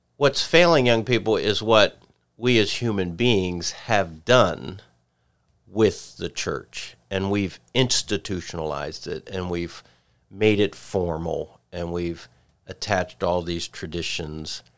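A man's fairly low voice, ordinary in pitch variation, at a very slow pace, on a very clean recording with a silent background. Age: 60s. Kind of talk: casual chat.

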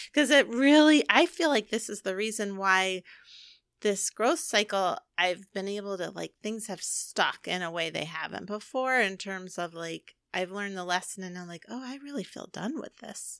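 Lively intonation from a woman at medium pitch and a moderate pace. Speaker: podcast co-host, energy healer and spiritual coach. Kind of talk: casual chat. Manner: relaxed.

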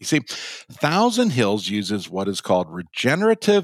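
Recorded very clean with a silent background and a dry, close sound with no echo, a man with an Upper Midwest accent speaks at a fairly slow pace with very wide pitch swings. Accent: Upper Midwest American. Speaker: podcast host. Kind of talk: casual interview chat.

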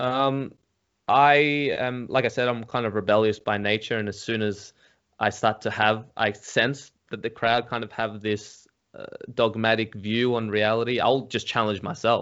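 In an Australian accent, a man with a medium pitch speaks at a moderate pace with monotone, flat intonation. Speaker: psychedelics YouTuber. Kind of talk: casual chat.

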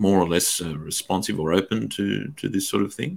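Speech in an Australian accent, captured in a very clean recording against a silent background. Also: man. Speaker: podcast host and teacher. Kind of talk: interview conversation.

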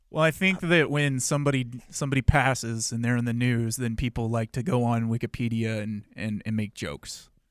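An ordinary speaking voice from a man at medium pitch, fairly quick with hardly any pauses, ordinary pitch variation, in a very clean recording with a silent background and a dry, close sound with no echo. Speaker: radio host of following show. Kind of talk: casual radio chat.

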